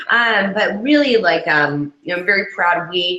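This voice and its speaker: A woman speaks at a very fast pace. Her pitch sits fairly low for a woman. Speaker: social media professional, advisory board member. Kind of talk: casual interview.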